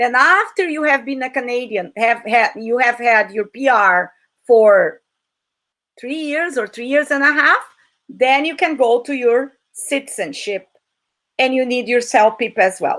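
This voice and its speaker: A woman speaks in a high, bright, sharp voice. Her pace is fairly slow. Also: ordinary pitch variation. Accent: Portuguese. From Brazil. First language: Portuguese. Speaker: English teacher. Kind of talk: online talk. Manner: animated.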